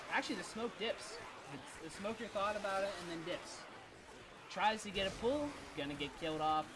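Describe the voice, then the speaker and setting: A man's high voice at a moderate pace, with lively intonation and long, frequent pauses. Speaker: esports caster. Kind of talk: live commentary. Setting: live stream. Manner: animated.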